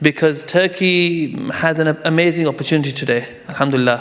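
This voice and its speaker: Background noise is noticeable. The man talks at a moderate pace. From London, England. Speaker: lawyer and Islamic finance expert. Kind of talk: conference talk. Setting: conference stage with audience. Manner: hesitant, many fillers.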